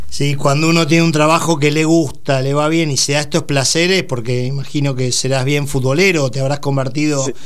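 In a room with audible echo and noticeable background noise, a man with a fairly high pitch speaks at a fairly quick pace with a Rioplatense accent and fairly even intonation. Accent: Argentine Rioplatense Spanish. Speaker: radio host. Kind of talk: radio interview.

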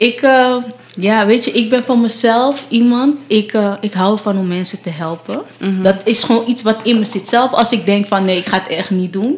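Fairly high female speech with ordinary pitch variation, moderately paced, over noticeable background noise. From Amsterdam, Netherlands. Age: 20s. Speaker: nurse. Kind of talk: casual chat. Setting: radio studio.

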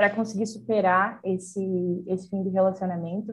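Somewhat breathy, a woman speaks at a medium pitch and moderate pace with fairly even intonation. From Brazil, interior of Rio Grande do Sul. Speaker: journalist. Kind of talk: casual chat. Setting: video call.

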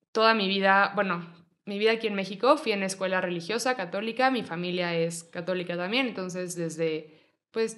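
A woman speaks with a Mexico City accent at a fairly low pitch. Her pitch varies in an ordinary way. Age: 20s. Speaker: yoga teacher. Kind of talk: casual chat.

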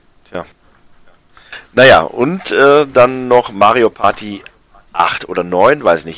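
A man speaks with ordinary pitch variation. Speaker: video game podcast co-host. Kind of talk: casual chat. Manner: hesitant, many filler sounds.

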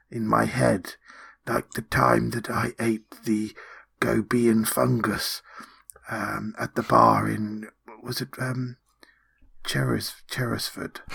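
In a raspy, put-on character voice, someone speaks very slowly with long, frequent pauses. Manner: chatty, whispered, rambling.

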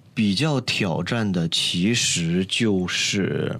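There is noticeable background noise. A man talks at a very deep, low pitch with ordinary pitch variation. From Northeast China. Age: young. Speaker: singer and musician. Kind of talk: casual interview.

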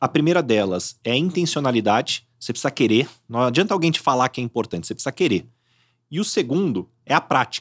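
Delivered at a very fast pace with very wide pitch swings, the speech has a dry, close sound with no echo on a very clean recording with a silent background. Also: man, medium pitch for a man. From Brazil, São Paulo state interior. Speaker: headhunter. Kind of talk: casual interview chat.

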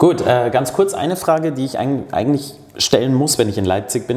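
Moderate speed and lively intonation, plus noticeable background noise and audible echo from the room. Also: man. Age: 30s. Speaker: podcast host. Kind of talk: casual interview.

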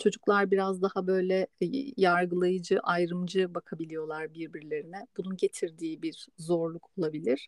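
In a plain, everyday voice, a woman speaks with fairly even intonation in a dry, close sound with no echo. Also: fairly low pitch for a woman, moderate pace. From Istanbul, Turkey. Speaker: podcast host on migration psychology. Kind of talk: casual chat.

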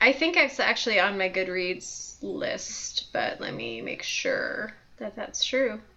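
Amid noticeable background noise, a woman talks at a very slow pace with hardly any pauses and big swings in loudness. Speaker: co-host, librarian. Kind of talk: casual chat.

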